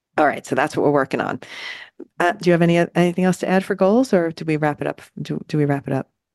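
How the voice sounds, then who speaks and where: A woman with a New Jersey accent talks at a very fast pace, her fairly low pitch moving with ordinary variation. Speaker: podcast co-host. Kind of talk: casual chat.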